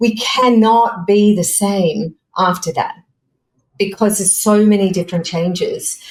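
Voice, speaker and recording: Speaking at a fairly slow pace with an Australian accent, a woman with a medium-pitched, somewhat breathy voice keeps her intonation fairly even. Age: 60s. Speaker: fashion and personal development coach. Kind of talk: podcast interview. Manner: halting.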